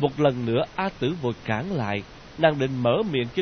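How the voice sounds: A natural reading voice full of lively intonation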